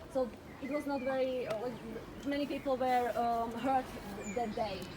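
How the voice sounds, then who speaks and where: Over noticeable background noise, a woman with a Slovak accent talks at a moderate pace in a high pitch with ordinary pitch variation. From Slovakia. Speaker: walking tour guide. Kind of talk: guided tour talk. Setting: outdoors. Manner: hesitant, many fillers.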